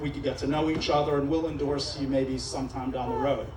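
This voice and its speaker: A man with a Pennsylvania accent talks at a fairly quick pace, with audible room echo and noticeable background noise. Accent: American, Pennsylvania. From Israel. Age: 40s. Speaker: judicial candidate. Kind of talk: campaign speech. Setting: restaurant event with live audience. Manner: animated. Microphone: PA microphone with echo in his ear.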